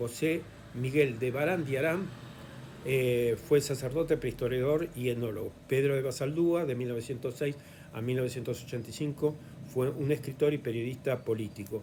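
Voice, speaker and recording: A man's dark, mellow voice comes across somewhat breathy, with fairly even intonation. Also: medium pitch for a man, moderate pace. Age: 70s. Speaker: historian and lecturer. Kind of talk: lecture. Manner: halting, frequent fillers.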